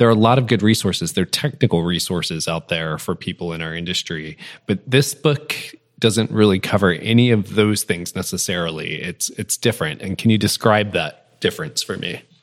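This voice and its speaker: Fairly quick and with lively intonation, a man talks in an ordinary speaking voice, fairly low in pitch, with a dry, close sound and no echo. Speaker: podcast co-host. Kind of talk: casual interview chat.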